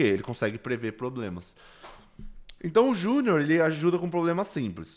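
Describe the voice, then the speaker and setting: A man at a fairly quick pace, very wide pitch swings, on a very clean recording with a silent background. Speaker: business consultant. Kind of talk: recorded lecture. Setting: solo recording instead of livestream. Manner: explanatory, conversational.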